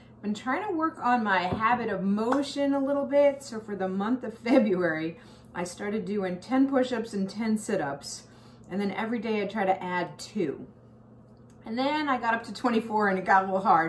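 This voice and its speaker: Over light background noise, a woman speaks at a moderate pace with lively intonation and big swings in loudness. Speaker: health coach vlogger. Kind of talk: casual vlog chat. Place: kitchen. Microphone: phone near.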